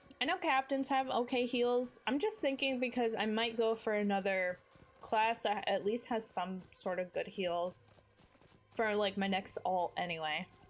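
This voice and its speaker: Over music in the background, a woman speaks at a moderate pace and fairly high pitch, with lively intonation and very even loudness. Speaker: streamer. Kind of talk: casual chat.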